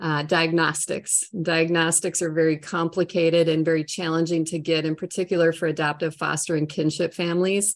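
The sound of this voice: A woman's fairly low voice with a Minnesotan accent, on a very clean recording with a silent background. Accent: Minnesotan, strong long O's.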